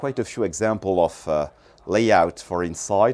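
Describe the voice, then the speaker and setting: A man's dark, mellow voice with lively intonation, at a fairly slow pace. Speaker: yacht company representative. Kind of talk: guided boat tour, sales pitch. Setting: aboard a boat. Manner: measured, explanatory, slightly halting with fillers. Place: boat.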